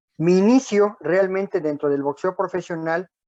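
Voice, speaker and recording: Fairly slow and fairly even in intonation, a man speaks in a dark, mellow tone. The sound is dry and close with no echo, over a quiet background. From Mexico City. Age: 70s. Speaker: retired boxing referee. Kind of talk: interview.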